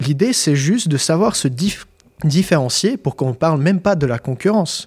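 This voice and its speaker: In a very clean recording with a silent background, a man talks at a fairly quick pace in a somewhat breathy voice with lively intonation. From Switzerland (born Kyiv, Ukraine). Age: 20s. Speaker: LinkedIn business coach, entrepreneur. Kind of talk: casual interview chat.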